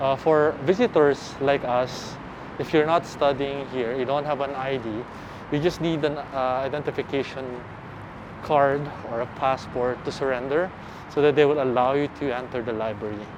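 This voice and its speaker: A fairly high-pitched male voice at a moderate pace, fairly even in intonation, over noticeable background noise. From Philippines. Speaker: architecture vlogger. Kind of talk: walking tour vlog commentary. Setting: walking around campus outdoors and indoors. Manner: casual, hesitant with fillers. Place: street. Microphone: phone near.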